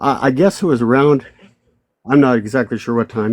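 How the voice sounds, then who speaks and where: Fairly even intonation marks this man's delivery. He keeps to a moderate pace. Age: 60s. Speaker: army veteran. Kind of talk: testimony. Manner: halting.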